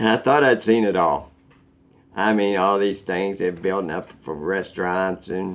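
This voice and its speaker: A man uses an ordinary speaking voice, fairly low in pitch, with ordinary pitch variation and a moderate speed. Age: 60s. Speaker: vlogger. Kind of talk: casual monologue.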